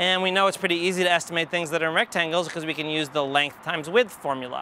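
A man's fairly high, bright, sharp voice at a fast pace with fairly even intonation

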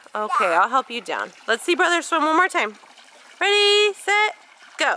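A woman's extremely high, raised and projected voice, with very wide pitch swings, a moderate pace and a dry sound with no echo. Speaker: stay-at-home mom vlogger. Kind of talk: casual talk to camera. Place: garden. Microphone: phone near.

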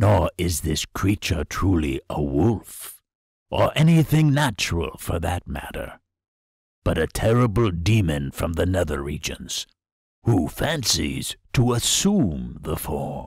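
A man puts on a character voice, very deep and low, with very wide pitch swings at a fairly slow pace, in a dry, close sound with no echo. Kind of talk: horror narration. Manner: calm, cryptic, philosophical.

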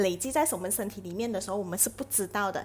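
Lively intonation marks this woman's speech. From Malaysia. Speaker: live streamer selling health products; product promoter vlogger. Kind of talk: live stream chat with product promotion. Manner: chatty, many filler particles. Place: home room. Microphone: earbuds.

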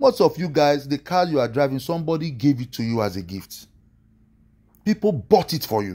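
This man has a Nigerian accent and a fairly high pitch with a dark, mellow tone. His pitch swings very widely, and he speaks at a fairly quick pace. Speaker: online preacher commentator. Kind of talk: angry rant, sermon-like preaching, scolding pastors and motivational speakers. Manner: indignant, emphatic, exasperated. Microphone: phone near.

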